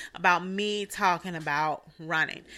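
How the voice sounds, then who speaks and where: A woman speaks at a medium pitch and a fairly slow pace. The recording is very clean, with a silent background. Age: 40s. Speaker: podcast host and runner. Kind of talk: solo monologue. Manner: animated.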